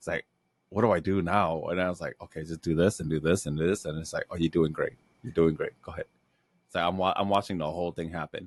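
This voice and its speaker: Speaking at a very fast pace, a man with a very deep, low voice sounds dry and close, with no echo. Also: quiet background. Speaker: comedy podcast host. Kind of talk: casual chat. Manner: loud; animated.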